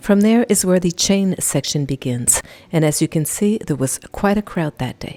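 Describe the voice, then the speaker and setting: Lively intonation and a moderate pace come through a dry, close sound with no echo, with music in the background. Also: woman, fairly low pitch for a woman. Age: 60s. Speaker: travel vlogger and hiker. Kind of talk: scripted narration.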